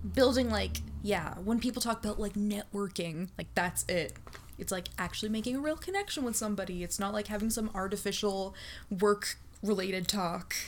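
A woman in a normal speaking voice talks at a moderate pace, with medium pitch and ordinary pitch variation. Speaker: streamer. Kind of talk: casual chat.

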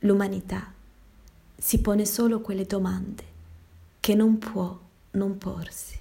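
At a very slow pace, a woman speaks in a monotone, flat intonation at a medium pitch, her tone dark, mellow and somewhat breathy. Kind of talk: dramatic monologue, Italian version of the virus text. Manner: solemn, theatrical, declamatory.

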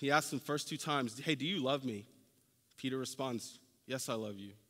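Bright and sharp in tone, a man speaks at medium pitch with ordinary pitch variation. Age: 30s. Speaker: preacher. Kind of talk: sermon. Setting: church.

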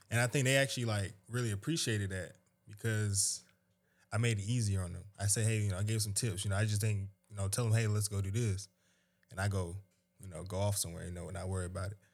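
A man with a fairly low, somewhat breathy voice talks at a very fast pace on a very clean recording with a silent background. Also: fairly even intonation. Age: 20s. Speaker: retail manager. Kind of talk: casual chat.

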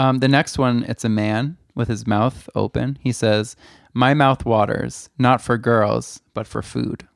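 A man with an unremarkable speaking voice and medium pitch talks at a fairly slow pace with fairly even intonation, recorded dry and close with no echo on a very clean track with a silent background. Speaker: podcast co-host. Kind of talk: casual chat.

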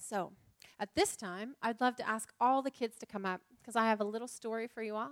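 Here someone reads aloud in a natural voice. Their intonation is fairly even.

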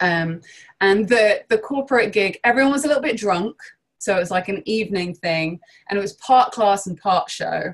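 Speaking in a London accent, a woman talks. Her intonation is lively. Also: medium pitch for a woman, moderate pace. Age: 30s. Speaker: improv teacher and performer. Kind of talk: interview.

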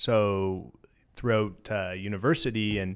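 In a very clean recording with a silent background, a man with a Canadian accent speaks at a fairly slow pace. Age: 30s. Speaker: crypto exchange executive. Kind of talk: interview.

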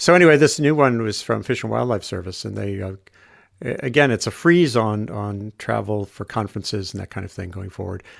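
A man speaking fairly quickly in a fairly low pitch, on a very clean recording with a silent background. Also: lively intonation. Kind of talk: casual conversational discussion. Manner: halting, hedging.

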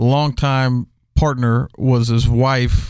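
Heard on a very clean recording with a silent background, a man speaks at a medium pitch in a monotone, flat intonation. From Houston, Texas. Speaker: cigar salesman. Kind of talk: casual chat. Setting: studio.

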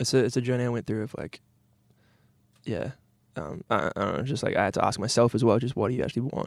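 This very clean recording, with a silent background, features a man talking at a very fast pace. His pitch is medium, with ordinary variation. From New Zealand. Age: 20s. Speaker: singer-songwriter musician. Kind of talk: casual interview chat.

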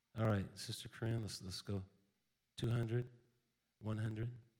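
At a very slow pace, a man speaks with long, frequent pauses in a fairly low, somewhat breathy voice. His intonation is monotone and flat. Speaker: pastor. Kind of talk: offering appeal. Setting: church.

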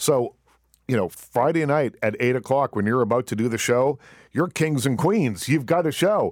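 Recorded very cleanly against a silent background, the dry, close sound has no echo, while the voice moves at a moderate pace with lively intonation and very even loudness. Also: man, medium pitch for a man. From Nova Scotia, Canada. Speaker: radio talk show host. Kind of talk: casual interview. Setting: studio. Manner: relaxed, many ums and ahs.

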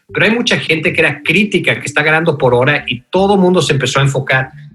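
Over noticeable background noise, the speech runs at a very fast pace with ordinary pitch variation. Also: man. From Mexico City. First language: English (speaking Spanish). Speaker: fintech founder and former CEO. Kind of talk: interview. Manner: halting, many fillers.

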